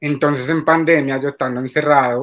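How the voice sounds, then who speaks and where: A man speaks at a fairly slow pace in an unremarkable speaking voice. His pitch sits fairly high, with fairly even intonation. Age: 30s. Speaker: adult content creator. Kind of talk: interview.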